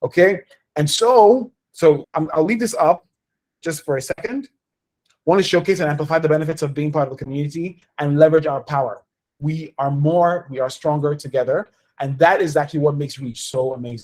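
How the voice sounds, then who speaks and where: A man talks at a fairly quick pace with a fairly high pitch. His pitch variation is ordinary. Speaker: community organization leader hosting town hall. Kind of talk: online town hall presentation. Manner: fast.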